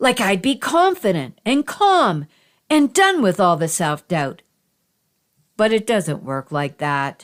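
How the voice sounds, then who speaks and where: At a very slow pace, a woman's voice makes very wide pitch swings in a very clean recording with a silent background. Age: 60s. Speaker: podcast host and children's author. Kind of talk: personal podcast talk.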